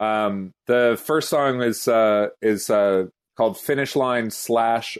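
A man speaks in a plain, everyday voice at a medium pitch, with ordinary pitch variation over a quiet background. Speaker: music commentator. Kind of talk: casual chat.

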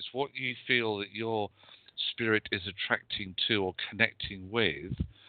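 The speaker talks fairly slowly with a British accent and ordinary pitch variation. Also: man, fairly low pitch for a man. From UK. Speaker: psychic medium and magazine editor. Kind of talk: psychic readings and spiritual advice.

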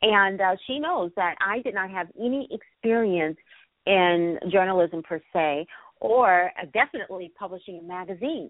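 A woman has an unremarkable speaking voice with ordinary pitch variation. She keeps a moderate pace, with big swings in loudness. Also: medium pitch for a woman. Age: 50s. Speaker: radio host. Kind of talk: interview. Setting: internet radio.

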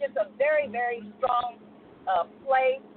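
A woman talks at a fairly high pitch with ordinary pitch variation. Background noise is noticeable. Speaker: stage actor. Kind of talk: casual radio call-in. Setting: phone call.

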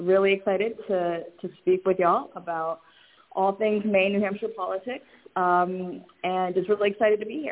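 A woman's fairly low voice with fairly even intonation

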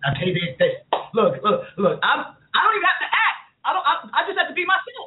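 In a New York accent, a woman speaks at a fairly quick pace with an animated tone. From Queens, New York. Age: 50s. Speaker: talk show host. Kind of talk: casual chat.

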